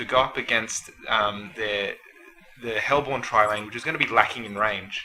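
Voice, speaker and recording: A man at a medium pitch speaks at a moderate pace with fairly even intonation and big swings in loudness, over noticeable background noise. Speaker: guest shoutcaster. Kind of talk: game shoutcast analysis. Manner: hesitant, filler words.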